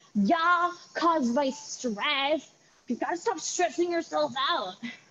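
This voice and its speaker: A woman puts on a character voice, high in pitch. She speaks at a fairly slow pace with lively intonation. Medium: stage play. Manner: dismissive.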